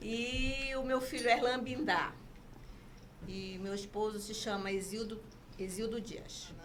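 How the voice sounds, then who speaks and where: A woman speaks at a very slow pace with fairly even intonation, long, frequent pauses and big swings in loudness. Audible room echo and noticeable background noise fill the recording. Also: fairly high pitch for a woman. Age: 60s. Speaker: mother of host. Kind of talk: interview.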